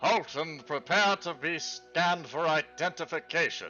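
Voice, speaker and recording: Faint music plays in the background as a man does a put-on character voice at a high pitch and a moderate pace. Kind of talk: commanding, official.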